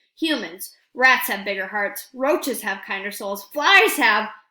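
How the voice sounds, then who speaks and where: Putting on a character voice, a woman speaks fairly slowly at a fairly high pitch. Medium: read story. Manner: sardonic.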